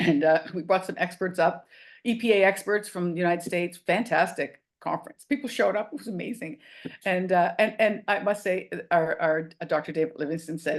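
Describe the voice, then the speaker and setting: This is a woman's voice at medium pitch. Her pitch variation is ordinary. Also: fairly quick pace. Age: 60s. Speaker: restaurant owner. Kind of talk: interview. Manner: animated.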